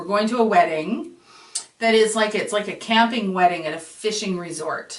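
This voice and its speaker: Using a put-on character voice, a woman speaks at a moderate pace in a raspy, medium-pitched tone. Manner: joking.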